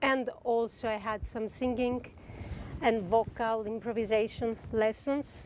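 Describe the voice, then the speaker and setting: A woman with a Greek accent speaks fairly slowly in a fairly high, monotone, flat voice. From Greece. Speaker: composer. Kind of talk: masterclass talk.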